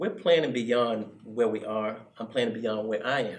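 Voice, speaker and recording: This man has an ordinary speaking voice at medium pitch. He talks at a moderate pace with ordinary pitch variation. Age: 60s. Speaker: youth club director. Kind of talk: interview conversation.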